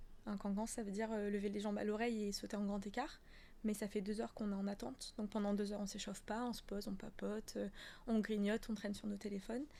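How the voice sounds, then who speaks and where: A woman's dark, mellow voice, medium in pitch, very fast and monotone with flat intonation. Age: 20s. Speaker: professional dancer and yoga teacher. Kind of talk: casual interview. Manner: loud; laughs a lot.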